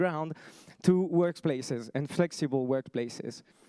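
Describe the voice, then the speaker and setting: In a French accent, a man talks at a moderate pace with ordinary pitch variation. His dark, mellow voice has a dry, close sound with no echo. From France. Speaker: startup founder. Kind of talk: pitch presentation.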